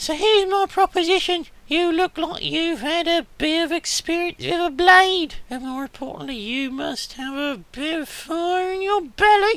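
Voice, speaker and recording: The speaker uses a put-on character voice with an extremely high pitch. The pace is moderate, with hardly any pauses. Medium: game stream. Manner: shrewd, businesslike.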